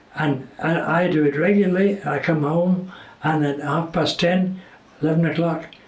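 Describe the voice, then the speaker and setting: Through noticeable background noise, a man with a Scottish accent talks high for a man with fairly even intonation and very even loudness. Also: moderate pace. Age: 80s+. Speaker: retired TV presenter. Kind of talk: interview answer.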